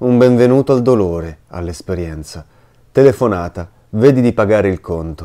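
A man's fairly low voice with a dark, mellow tone, lively intonation and a moderate pace, on a very clean recording with a silent background. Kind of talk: literary audiobook reading of a diary, read aloud in a hushed, intimate voice.

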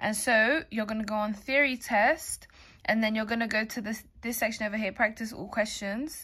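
Against a quiet background, a woman with a fairly high, bright, sharp voice speaks at a moderate pace with fairly even intonation. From England. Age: young. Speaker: YouTuber. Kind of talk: casual vlog tutorial. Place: home room.

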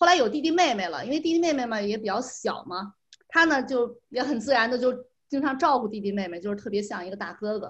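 The delivery is very fast, with lively intonation. The background is quiet. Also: woman, high pitch for a woman. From China. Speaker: parent; guest. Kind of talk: interview. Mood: warm, reflective about son. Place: home room. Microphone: video call.

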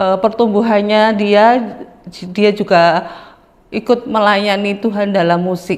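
This woman's voice sits at a medium pitch and moves at a very slow pace, with long, frequent pauses. Her intonation stays monotone and flat. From Central Java. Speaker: churchgoer giving a testimony. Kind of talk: testimony. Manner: halting. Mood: earnest, calm. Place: studio. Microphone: lapel.

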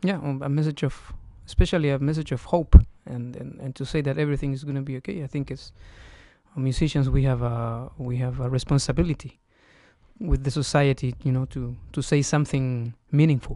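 With a quiet background and a dry sound free of echo, a man's fairly high-pitched voice carries a dark, mellow tone and fairly even intonation. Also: moderate pace. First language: Spanish (speaking Romanian). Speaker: guest. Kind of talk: interview. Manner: halting. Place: studio. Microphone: studio mic.

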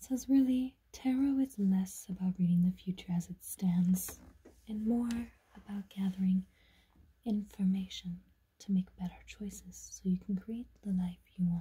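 The voice is whispering. It is soft-spoken. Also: moderate pace. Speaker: tarot deck reviewer. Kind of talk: casual unboxing narration, reading aloud. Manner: soft ASMR whisper reading aloud. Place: home room. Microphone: phone near.

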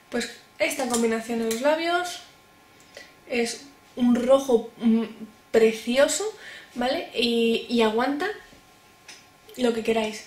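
In a room with audible echo, a woman with a Spanish accent speaks very slowly at a high pitch, with ordinary pitch variation and long, frequent pauses. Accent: Peninsular Spanish. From Spain. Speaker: beauty YouTuber. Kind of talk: product review vlog. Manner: cheerful, chatty. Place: home room. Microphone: camera far.

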